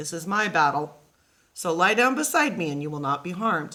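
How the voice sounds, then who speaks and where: Over a very clean recording with a silent background, a raspy, put-on character voice at a middle pitch moves at a fairly quick pace. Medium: read story.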